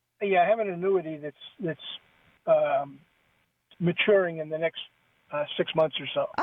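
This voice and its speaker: Pausing long and often, a man talks at a moderate pace and high pitch with fairly even intonation. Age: 70s. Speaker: caller. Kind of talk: call-in question. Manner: halting.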